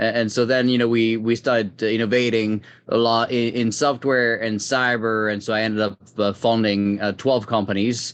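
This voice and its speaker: A quiet background sits behind the voice. Its intonation is monotone and flat. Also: man, medium pitch for a man, moderate pace. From France. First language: French. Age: 30s. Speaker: tech executive. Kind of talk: interview. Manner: hesitant, many fillers.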